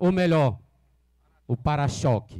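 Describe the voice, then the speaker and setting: A man speaks against a quiet background. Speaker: local councillor. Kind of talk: public speech. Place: open country. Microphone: handheld.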